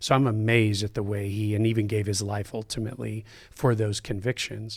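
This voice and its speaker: A man with a normal speaking voice and an American accent talks at a moderate pace and fairly low pitch in a very clean recording with a silent background. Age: 50s. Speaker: pastor. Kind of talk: casual chat.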